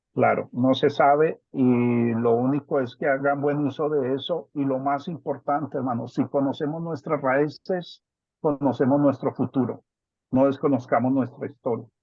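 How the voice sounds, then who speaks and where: Fairly slow, fairly even speech from a man with a Bogotá accent and a fairly high pitch. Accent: Bogotá (rolo) accent, kept. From Colombia, Bogotá. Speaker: family member giving a talk. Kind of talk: family video call discussion.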